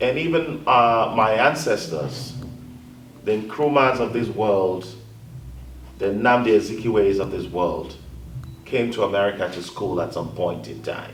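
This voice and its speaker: Room echo is audible as a man speaks at a fairly slow pace with long, frequent pauses. His medium pitch carries lively intonation. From Africa. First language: African language, not English. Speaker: panelist, communications advisor. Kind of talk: panel discussion.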